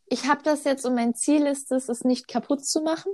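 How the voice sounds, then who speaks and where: Her pitch high with ordinary variation, a woman speaks with a dry, close sound and no echo. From North Rhine-Westphalia, Germany. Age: 20s. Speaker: podcast co-host. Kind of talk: casual chat.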